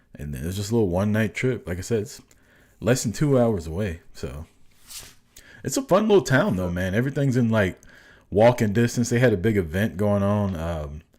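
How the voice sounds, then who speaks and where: Using an ordinary speaking voice, a man talks at a fairly quick pace with a fairly low pitch and lively intonation, recorded very cleanly against a silent background. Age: 40s. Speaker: podcast co-host. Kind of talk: casual chat.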